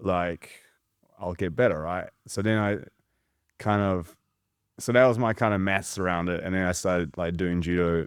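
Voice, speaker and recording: In a New Zealand accent, a man with a very deep, low pitch speaks at a moderate pace with fairly even intonation on a very clean recording with a silent background. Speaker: judo coach. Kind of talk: casual chat.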